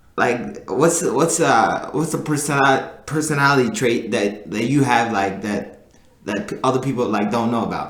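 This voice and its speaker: Medium pitch from a man at a moderate pace, with ordinary pitch variation and noticeable background noise. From Sudan and Egypt, moved to US as a child. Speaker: podcast guest. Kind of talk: casual chat. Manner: halting, many fillers.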